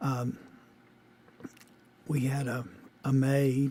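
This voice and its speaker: A man with a Louisiana accent speaks at a medium pitch, his somewhat breathy voice carrying a dark, mellow tone. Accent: Southern US (Louisiana). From US South, Shreveport, Louisiana. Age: 60s. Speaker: interviewee, father. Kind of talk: oral history interview. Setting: recorded conversation with daughter. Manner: halting, many fillers.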